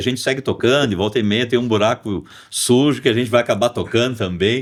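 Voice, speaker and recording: The speaker has a Porto Alegre accent, captured in a very clean recording with a silent background. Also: man. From Porto Alegre, southern Brazil. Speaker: rock musician and songwriter. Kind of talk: podcast interview. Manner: halting, many fillers.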